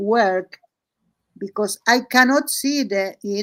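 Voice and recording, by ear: A slow pace, a fairly bright tone and ordinary pitch variation. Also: woman.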